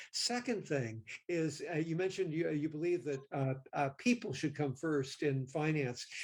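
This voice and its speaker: Lively intonation and a somewhat breathy voice at a moderate pace, with hardly any pauses and very even loudness. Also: man, fairly high pitch for a man. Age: 70s. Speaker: mindfulness practitioner and kindness advocate. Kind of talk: interview. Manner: halting.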